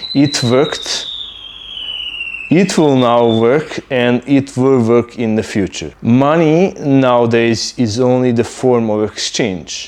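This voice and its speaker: A man with a Serbian accent talks at a very slow pace and very even loudness. Noticeable background noise sits under his voice. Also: medium pitch for a man, ordinary pitch variation. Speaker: YouTuber. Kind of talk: casual monologue. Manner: hesitant, many fillers.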